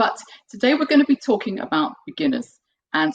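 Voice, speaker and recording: Her pitch swings very widely as this woman speaks. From UK. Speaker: piano teacher and composer. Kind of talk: online webinar presentation. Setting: video webinar.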